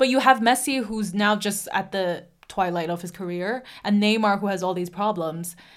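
A woman with an unremarkable speaking voice talks at a medium pitch and a moderate pace, with ordinary pitch variation and hardly any pauses. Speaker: podcast host. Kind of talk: casual banter.

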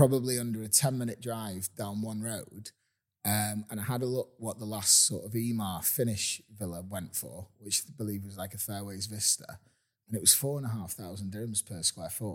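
With an unremarkable speaking voice, a man speaks at a moderate pace in a fairly low pitch with ordinary pitch variation. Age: 40s. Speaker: real estate agent. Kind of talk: casual chat. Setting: inside a house for sale.

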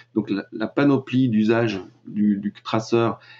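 Speaking very slowly, a man keeps a fairly low pitch and fairly even intonation. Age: 40s. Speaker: web marketing and data privacy consultant. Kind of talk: interview. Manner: hesitant, many filler sounds.

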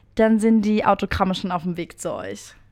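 A woman speaks with fairly even intonation. Music can be heard in the background. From Baden, Ortenau region. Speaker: podcast host. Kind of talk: casual chat.

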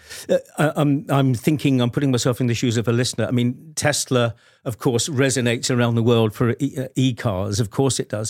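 A British accent at a fairly quick pace, with hardly any pauses and fairly even intonation. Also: man, medium pitch for a man. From Britain. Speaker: podcast host. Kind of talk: interview.

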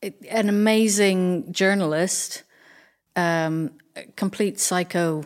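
A woman speaks at a medium pitch. The recording is very clean, with a silent background. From Ireland, south of Dublin. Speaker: textile artist. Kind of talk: casual chat.

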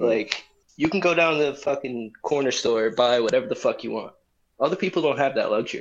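A man talks in an ordinary speaking voice at a fairly quick pace. His pitch is fairly high, with ordinary variation. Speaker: podcast co-host. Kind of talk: casual banter chat. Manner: relaxed, slangy.

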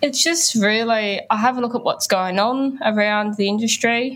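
A woman with an Australian accent, at a moderate pace, with ordinary pitch variation. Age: 20s. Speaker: music journalist and youth charity ambassador. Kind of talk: interview.

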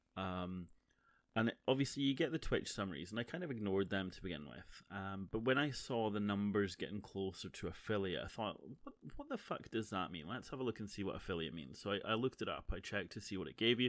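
A man with a Scottish accent talks at a very fast pace. His voice is fairly low with lively intonation. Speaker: podcaster and streamer. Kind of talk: casual solo monologue. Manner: halting, many fillers.

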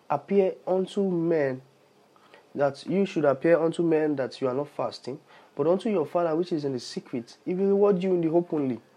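A man with a Nigerian accent speaks at a moderate pace, leaving long, frequent pauses. His voice is high-pitched with a dark, mellow tone and ordinary pitch variation. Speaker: podcast host and preacher. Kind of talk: sermon / Bible teaching.

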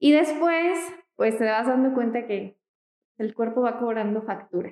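A woman talks at a fairly slow pace. Her pitch is fairly high, with ordinary pitch variation. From Mexico, Michoacán. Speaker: architect. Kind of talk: casual interview.

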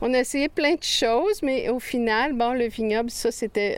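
Here a woman talks in a Quebec accent. Her pace is fairly slow. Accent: Québécois French. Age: 60s. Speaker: farmer. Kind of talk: interview.

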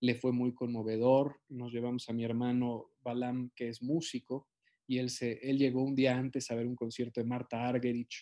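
At a moderate pace, a man speaks in a medium-pitched voice. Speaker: actor. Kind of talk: interview.

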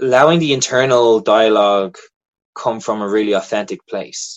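A man talks with an American accent at a moderate pace. The background is quiet. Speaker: acting teacher and filmmaker. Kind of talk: interview.

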